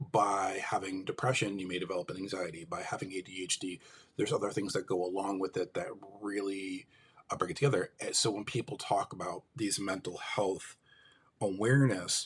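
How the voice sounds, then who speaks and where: A man with an American accent has a plain, everyday voice. His pitch is fairly low, and his pace is fairly quick. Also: ordinary pitch variation. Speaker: livestream host, mental health advocate. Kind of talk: live stream monologue. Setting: live stream.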